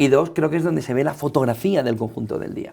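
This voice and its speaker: A man with a medium pitch and a dark, mellow tone talks very fast with lively intonation and vocal fry, on a very clean recording with a silent background. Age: 40s. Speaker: journalist and media founder. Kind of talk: interview conversation.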